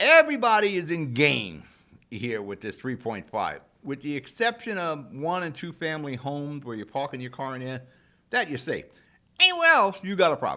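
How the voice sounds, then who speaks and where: A man's animated, bright, sharp voice at a fairly high pitch, with very wide pitch swings, big swings in loudness and a moderate pace, on a very clean recording with a silent background. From New Jersey, Jersey City. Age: 60s. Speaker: local talk show host. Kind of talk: opinion monologue. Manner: animated, conversational.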